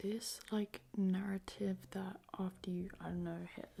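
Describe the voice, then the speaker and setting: A woman's somewhat breathy voice, medium in pitch and dark, mellow in tone. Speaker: younger sister of the channel owner, co-reader. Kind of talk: soft-spoken ASMR advice reading.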